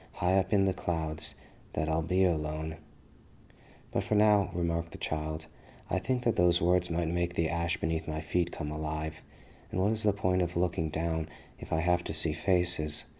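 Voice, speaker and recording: A man at a very deep, low pitch with a dark, mellow tone, a moderate pace and fairly even intonation, in a very clean recording with a silent background. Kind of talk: ASMR fantasy story narration, poetic. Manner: soft, intimate, ASMR-style.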